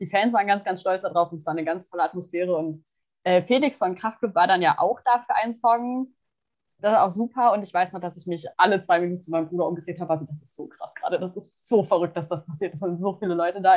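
This woman talks very fast at a medium pitch, with ordinary pitch variation and big swings in loudness. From Germany, small town. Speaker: podcast co-host, psychology student. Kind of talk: casual chat.

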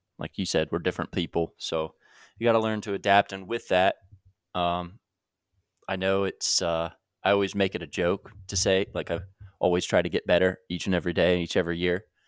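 A man's very deep, low voice, flat and monotone, at a fairly quick pace with long, frequent pauses, in a dry, close sound with no echo and a very clean recording with a silent background. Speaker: host's long-term partner. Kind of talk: casual chat.

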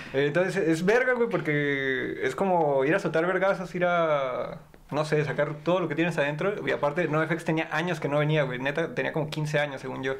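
A man talks at a moderate pace and fairly high pitch, with ordinary pitch variation and hardly any pauses. Noticeable background noise and audible room echo fill the recording. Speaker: podcast guest. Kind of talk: casual chat. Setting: studio.

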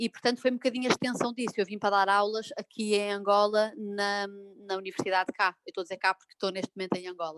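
A woman at a very fast pace, medium in pitch, with fairly even intonation but big swings in loudness. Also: dry, close sound with no echo. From Portugal, Porto. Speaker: psychologist and blogger. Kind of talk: casual interview. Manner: halting, many fillers.

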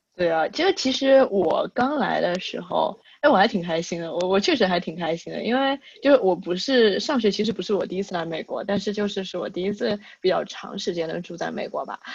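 A woman with a medium pitch speaks with lively intonation and vocal fry. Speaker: podcast host. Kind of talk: casual chat.

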